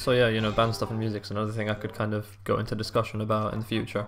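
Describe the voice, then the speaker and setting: A man with an English accent at a fairly low pitch and a very fast pace, with music in the background. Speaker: gaming YouTuber. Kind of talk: gameplay commentary. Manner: halting, many fillers.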